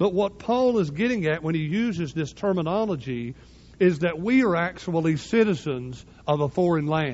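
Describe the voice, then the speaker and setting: Lively intonation and a moderate pace in a high-pitched man's voice. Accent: Southern US. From US South. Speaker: pastor. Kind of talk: sermon.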